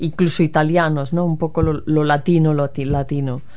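This woman has a very deep, low pitch and a dark, mellow tone, speaking at a moderate pace with monotone, flat intonation over audible room echo. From Spain, Galicia. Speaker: guest. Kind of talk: casual chat.

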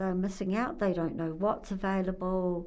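A woman with a New Zealand accent. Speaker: interviewee. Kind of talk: casual interview chat.

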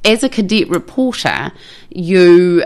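A fairly low woman's voice with lively intonation, in a New Zealand accent. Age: 50s. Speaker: journalist. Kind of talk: casual chat. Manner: animated.

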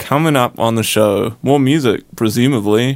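The man speaks in an enthusiastic tone at a moderate pace. His medium pitch shows ordinary pitch variation. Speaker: student radio host. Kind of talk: casual student radio DJ patter between songs. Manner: laid-back, chatty, stumbling and laughing, with filler 'uh' and enthusiastic 'heck yeah'.

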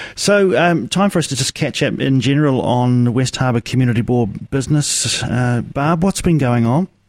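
With a New Zealand accent, a man speaks with lively intonation and very even loudness. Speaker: radio host. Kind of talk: casual chat.

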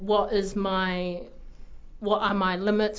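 Recorded with audible room echo, a woman speaks with a New Zealand accent. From New Zealand, Taranaki. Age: young. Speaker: graphic design student. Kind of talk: radio interview. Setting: radio studio.

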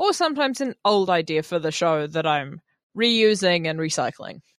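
A woman with a New Zealand accent speaks with lively intonation. The sound is dry and close with no echo, on a very clean recording with a silent background. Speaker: radio host. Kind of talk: radio show hosting, casual chat. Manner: animated on air, deliberately amped up.

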